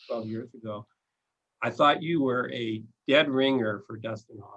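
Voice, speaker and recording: A man with an unremarkable speaking voice, ordinary pitch variation and big swings in loudness. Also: medium pitch for a man. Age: 60s. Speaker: attorney and interview host. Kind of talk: interview.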